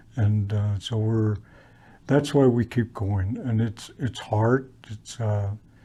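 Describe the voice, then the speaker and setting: A man speaks at a very slow pace with a somewhat breathy voice and fairly even intonation. The recording is very clean, with a silent background. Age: 70s. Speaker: residential school survivor, storyteller. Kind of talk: testimony. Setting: historical park presentation. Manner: halting, many fillers and repetitions.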